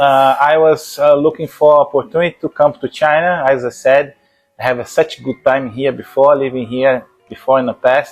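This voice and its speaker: With music in the background, a fairly high-pitched man in a strong Brazilian accent speaks at a moderate pace in a flat monotone. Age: 50s. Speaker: martial arts instructor. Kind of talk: interview conversation. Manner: halting, many fillers.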